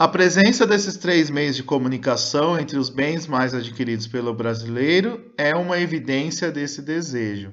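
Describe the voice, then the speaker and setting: A man's unremarkable speaking voice, fairly high in pitch, with lively intonation and hardly any pauses. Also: moderate pace. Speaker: schoolteacher. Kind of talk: recorded online lesson.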